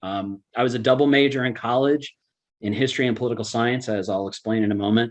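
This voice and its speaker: With fairly even intonation, the talking races along at a very fast pace. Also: man, medium pitch for a man. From New York (Brooklyn, Long Island family). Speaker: law professor. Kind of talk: lecture. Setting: webinar. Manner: direct, straightforward.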